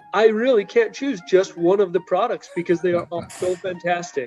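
Faint music plays in the background. A man speaks in a high voice with ordinary pitch variation. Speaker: chiropractor guest. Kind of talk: interview answer. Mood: enthusiastic. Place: home room. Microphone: video call.

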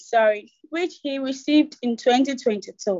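A female speaker, very slow in pace, over a quiet background. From Ghana. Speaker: webinar moderator. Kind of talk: moderating a webinar. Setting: video call. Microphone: video call.

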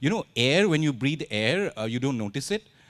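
A man speaks fairly quickly at a fairly high pitch, with vocal fry. His pitch swings very widely. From India. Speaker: author; author on panel. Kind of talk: literature festival conversation. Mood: humorous, satirical. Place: stage. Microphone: handheld.

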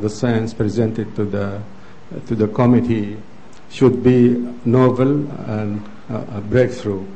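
Keeping his intonation fairly even, a man talks at a fairly slow pace. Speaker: presenter. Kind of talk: lecture. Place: hall. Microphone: podium.

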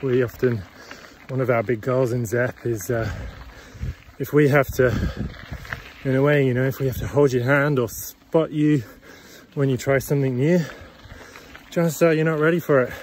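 Amid light background noise, a man speaks with ordinary pitch variation and long, frequent pauses in a dry sound with no echo. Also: moderate pace. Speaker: bike coaching business owner. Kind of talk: casual vlog chat. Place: bicycle. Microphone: phone near.

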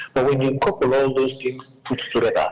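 With a Sierra Leonean accent, a man talks over noticeable background noise. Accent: Sierra Leonean Krio-inflected English. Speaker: caller. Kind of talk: call-in commentary.

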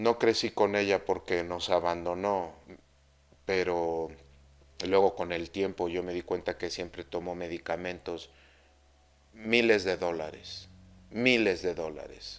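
A man talks at a fairly slow pace, with long, frequent pauses. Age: 50s. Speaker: Mayan astrology teacher. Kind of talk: spiritual talk monologue. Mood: personal, reflective story. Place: home room.

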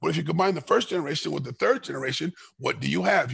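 A man with an American accent speaks very fast. The sound is dry with no echo, and the background is quiet. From Los Angeles, California. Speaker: martial artist and former MMA fighter; podcast guest. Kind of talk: casual interview chat. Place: kitchen. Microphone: headset.

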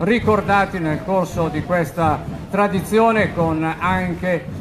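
Amid noticeable background noise, a man speaks at a fairly slow pace and a high pitch, with ordinary pitch variation. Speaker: event commentator. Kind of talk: live parade commentary. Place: street.

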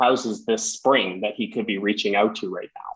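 Bright, sharp male voice at a moderate pace over a quiet background. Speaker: webinar host. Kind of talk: group discussion. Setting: video call. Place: office. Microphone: earbuds.

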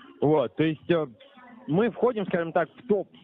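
With music in the background, a man talks at a moderate pace, and the sound is dry with no echo. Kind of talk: persuasive sales phone talk. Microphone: phone line.

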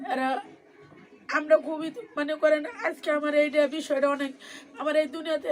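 A woman's high-pitched voice. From Bangladesh, Bikrampur (Munshiganj). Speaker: widow of protest victim, garment worker. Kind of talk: interview testimony. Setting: at home. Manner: soft-spoken.

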